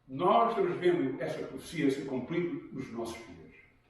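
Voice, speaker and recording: In a room with audible echo, a man talks at a high pitch. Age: 70s. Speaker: pastor. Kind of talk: sermon.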